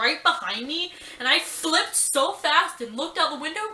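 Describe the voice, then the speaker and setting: A woman's raised, projected voice at a fairly quick pace, with audible room echo and noticeable background noise. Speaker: vlogger. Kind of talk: casual storytelling vlog. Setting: at home. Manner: animated.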